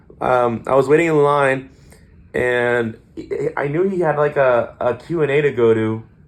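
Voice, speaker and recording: A man's medium-pitched voice varies in an ordinary way as he talks at a moderate pace. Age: 20s. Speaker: podcast co-host. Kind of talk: casual chat. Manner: animated.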